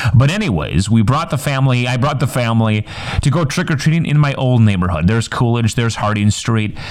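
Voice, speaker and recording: Lively intonation and a very fast pace mark this voice, which has a slight Upper Peninsula accent, over noticeable background noise. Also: man, medium pitch for a man. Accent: northern Upper Midwest (UP) accent, slight. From Upper Peninsula of Michigan. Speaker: podcaster, educator, coach and grad student. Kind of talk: casual solo podcast monologue. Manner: halting, with filler words and repeats.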